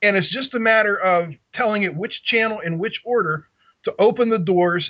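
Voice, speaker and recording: A man with a Pittsburgh accent talks at a moderate pace with ordinary pitch variation. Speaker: radio control hobbyist. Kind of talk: casual chat.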